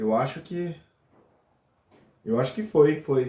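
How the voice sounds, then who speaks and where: The voice has a dark, mellow tone and is somewhat breathy. It moves at a fairly slow pace with lively intonation. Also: man. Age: 30s. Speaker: physics PhD student. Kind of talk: casual interview.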